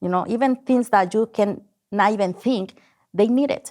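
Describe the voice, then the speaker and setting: A woman speaks with a strong non-native accent and ordinary pitch variation. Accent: heavy foreign. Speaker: business owner, contractor. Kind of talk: interview.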